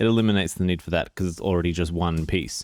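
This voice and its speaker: Mumbling in an Australian accent, a man speaks with a very deep, low pitch and ordinary pitch variation on a very clean recording with a silent background. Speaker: photography youtuber. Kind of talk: product review. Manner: casual. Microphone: new microphone.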